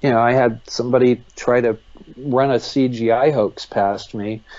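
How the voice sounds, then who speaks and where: Speaking with an American accent, a man with a medium pitch and an unremarkable speaking voice talks at a moderate pace with fairly even intonation. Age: 60s. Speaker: UFO investigator. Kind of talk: interview.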